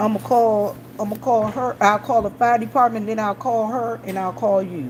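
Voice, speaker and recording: Against noticeable background noise, a woman with an American accent speaks at a moderate pace and a fairly high pitch, with ordinary pitch variation. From Washington DC. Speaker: gas station clerk and vlogger. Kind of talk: casual chat.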